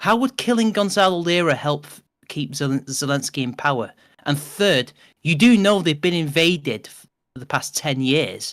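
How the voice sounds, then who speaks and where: A man with a Mancunian accent and a fairly high pitch speaks with lively intonation and big swings in loudness, in a very clean recording with a silent background. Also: moderate pace. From northern England, Manchester. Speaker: podcast co-host. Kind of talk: casual chat. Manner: animated.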